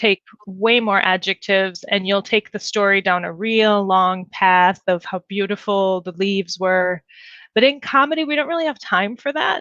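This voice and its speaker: With an Upper Midwest accent, the speaker has a bright, sharp tone and ordinary pitch variation, recorded with a dry, close sound, no echo and a quiet background. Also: woman, medium pitch for a woman, moderate pace. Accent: Upper Midwest (Fargo-style) American. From US Midwest. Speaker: comedy writer and improv performer. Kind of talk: interview answer.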